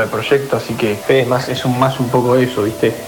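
A man with a medium-pitched voice talks at a moderate pace over noticeable background noise, with audible echo from the room. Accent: Argentine. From Argentina, Buenos Aires province (Pilar). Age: 20s. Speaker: DJ and electronic music producer. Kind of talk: interview. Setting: recorded voice message.

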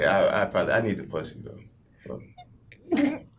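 Noticeable background noise sits behind the voice. A man talks at a fairly quick pace. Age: 30s. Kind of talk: casual chat.

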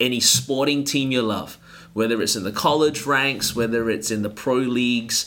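With an Australian accent, a man speaks in a bright, sharp tone and fairly even intonation. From Australia, Melbourne. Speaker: pastor. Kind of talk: casual interview.

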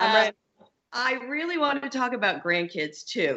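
A woman speaks with very wide swings in pitch. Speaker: podcast host.

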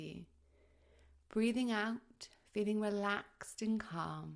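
This woman has an ordinary speaking voice with a fairly high pitch. She talks at a fairly slow pace with ordinary pitch variation. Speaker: midwife. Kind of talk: guided meditation. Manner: soft, slow, soothing; calm, gently paced.

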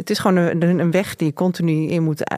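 A woman speaks in a normal speaking voice at a fairly low pitch and a moderate pace. The sound is dry and close, with no echo. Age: 40s. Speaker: journalist and columnist. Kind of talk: interview conversation.

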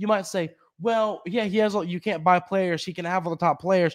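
A man talks with a high pitch. The recording is very clean, with a silent background. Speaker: podcast host. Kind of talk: sports podcast monologue, angry rant. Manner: emphatic, heated; blunt, forceful, arguing.

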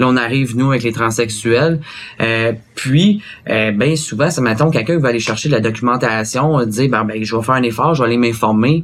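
This man has a normal speaking voice at medium pitch. He talks fairly quickly, with fairly even intonation. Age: 20s. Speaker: interview guest. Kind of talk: interview.

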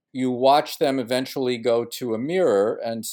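A man's medium-pitched, a normal speaking voice, at a fairly slow pace with lively intonation, in a very clean recording with a silent background. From US, Brooklyn, New York. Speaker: ecologist and author. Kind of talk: interview.

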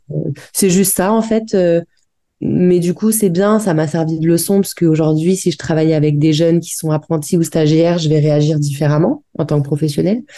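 Fairly low-pitched for a woman, she has a dark, mellow tone, ordinary pitch variation and a moderate pace. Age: 30s. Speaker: dancer and aerial acrobat. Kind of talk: casual interview.

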